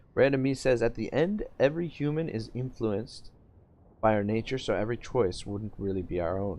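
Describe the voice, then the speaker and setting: At a moderate pace, a man with a Canadian accent speaks with ordinary pitch variation. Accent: Canadian, self-described as harsh. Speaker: gaming streamer. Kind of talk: live-streamed gameplay commentary with chat reading. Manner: casual, halting with many fillers.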